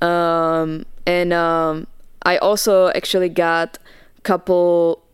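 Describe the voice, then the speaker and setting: A woman's fairly low voice, very slow and monotone, flat in intonation, on a very clean recording with a silent background. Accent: Czech. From Czech Republic. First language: Czech. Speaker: dancer. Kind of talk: casual chat. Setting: studio.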